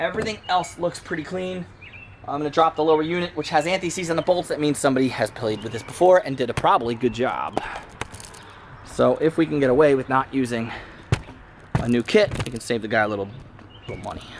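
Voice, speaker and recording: Talking very fast with lively intonation, a man leaves long, frequent pauses against noticeable background noise. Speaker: DIY mechanic YouTuber. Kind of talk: repair tutorial. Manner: casual, with false starts.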